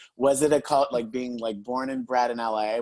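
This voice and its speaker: Medium in pitch, a man with a normal speaking voice talks at a moderate pace. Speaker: radio talk show host. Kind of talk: interview host talk.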